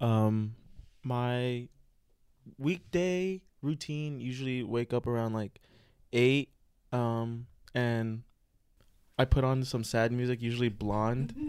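Long, frequent pauses break up a man's very slow, playful delivery. He has an American accent, a medium pitch and ordinary pitch variation. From California. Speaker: college student. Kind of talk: casual chat. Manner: joking, playful.

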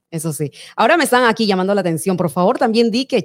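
At a very fast pace, a woman talks in an animated tone with lively intonation. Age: 40s. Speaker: podcast host. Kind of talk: live-streamed interview.

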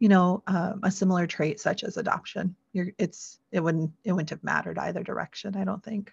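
This woman talks at a moderate pace in an American accent, her medium-pitched voice somewhat breathy and flat in a monotone. The sound is dry and close with no echo, over a quiet background. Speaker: adoptee, blogger and podcaster. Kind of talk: interview.

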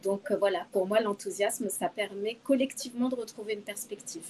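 A woman at a fairly quick pace, fairly high in pitch, with ordinary pitch variation. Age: 50s. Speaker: HR director. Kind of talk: interview. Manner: hesitant, many fillers.

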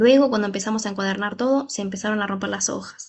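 A somewhat breathy woman's voice at medium pitch. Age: 30s. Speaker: fitness trainer and wellness coach. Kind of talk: motivational monologue.

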